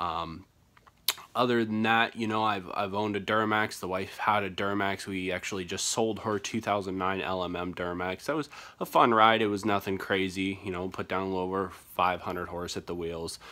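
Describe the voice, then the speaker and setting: A man with a fairly low pitch speaks at a fairly quick pace in a bright, sharp tone with fairly even intonation, on a very clean recording with a silent background. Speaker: diesel truck channel host. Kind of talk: casual vlog talk. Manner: halting, stuttering a little.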